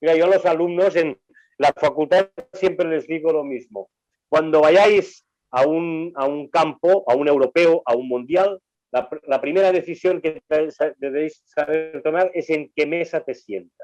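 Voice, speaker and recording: In a dry, close sound with no echo, a man with an ordinary speaking voice talks at a fairly slow pace, his fairly high pitch showing ordinary pitch variation. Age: 60s. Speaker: sports journalist and university lecturer. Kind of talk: casual chat.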